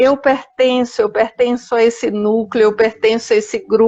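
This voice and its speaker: Fairly slowly, a woman talks in a fairly high voice. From Paraíba, Brazil. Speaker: biographical counselor, live host. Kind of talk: live video chat.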